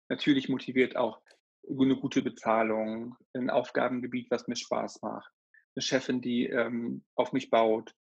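The man's pitch is medium. He speaks with monotone, flat intonation. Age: 30s. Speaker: hairdresser and trainer. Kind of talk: casual interview.

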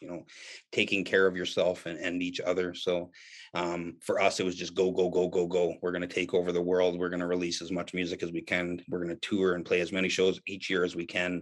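Against a quiet background, a man talks at a fairly quick pace in a very deep, low pitch. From Canada. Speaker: metal musician and English teacher. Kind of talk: casual chat.

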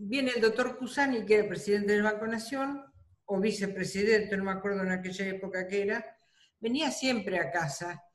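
A woman's fairly high-pitched voice carries audible echo from the room. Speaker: retired bank employee, grandmother. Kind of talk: interview, personal recollection.

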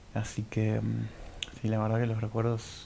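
A man with an Argentine accent talks at a moderate pace. His medium pitch has a dark, mellow tone. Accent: Rioplatense Argentine Spanish. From Argentina, Buenos Aires and Córdoba. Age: 20s. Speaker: podcast host. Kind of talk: solo monologue. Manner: halting.

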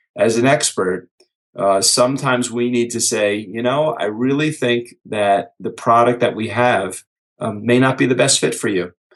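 Someone with an unremarkable speaking voice talks at a moderate pace with ordinary pitch variation. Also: man, medium pitch for a man. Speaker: author and business speaker. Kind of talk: podcast interview.

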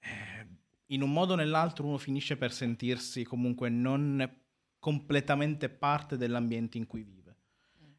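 A man's medium-pitched voice at a moderate pace, with ordinary pitch variation, in a very clean recording with a silent background. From northern Italy, Sicilian family. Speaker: activist, law student. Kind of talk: live radio interview. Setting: radio studio.

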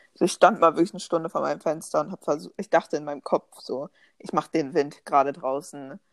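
A woman with a very deep, low pitch talks at a very fast pace, with ordinary pitch variation and big swings in loudness. The recording is very clean and dry, close, with a silent background and no echo. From Germany, Bonn. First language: bilingual German and English (speaking German). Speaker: podcast co-host. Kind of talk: casual chat.

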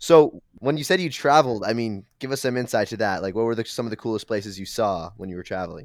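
In a very clean recording with a silent background, a man with an American accent talks at a very fast pace with lively intonation and big swings in loudness. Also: medium pitch for a man. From US Midwest (Milwaukee; Boston until ten). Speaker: camp counselor. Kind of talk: casual chat. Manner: animated.

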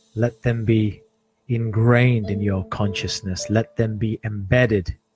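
Music plays behind a man with a fairly low pitch. His intonation stays fairly even. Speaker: podcast host and meditation guide. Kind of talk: guided meditation. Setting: live stream with background music. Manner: slow, soft, soothing, with long pauses.

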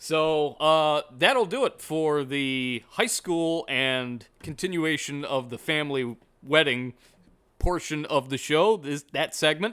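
A man with an American accent speaks very slowly, his pitch fairly high and his tone bright, sharp, upbeat and playful. The recording is very clean, with a silent background. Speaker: radio host. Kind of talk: radio dj patter, sponsor-style promo read with jokey banter. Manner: upbeat, punchy, playful, announcer-like delivery.

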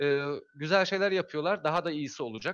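A man with a fairly high pitch and lively intonation is heard in a dry, close sound with no echo and a quiet background. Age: 40s. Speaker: amateur astronomer. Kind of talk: casual chat. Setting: live stream.

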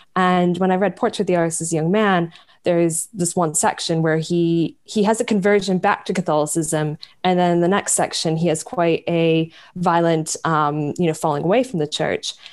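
Speaking at a moderate pace with an American accent, a woman keeps a fairly low pitch, fairly even intonation and very even loudness. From US, small town in New York State. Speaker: novelist and editor. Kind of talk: interview about her book.

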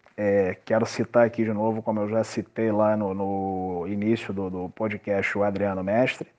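At a moderate pace and with hardly any pauses, a man speaks in a fairly low voice. His intonation is monotone and flat. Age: 40s. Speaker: table football player. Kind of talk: interview. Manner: halting, many repetitions.

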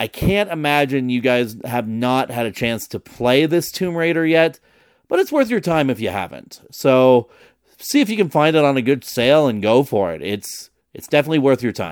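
Over a silent background in a very clean recording, a man with an unremarkable speaking voice talks at a moderate pace and medium pitch with lively intonation. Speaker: podcast host. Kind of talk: radio dj patter, promo-style show intro and outro.

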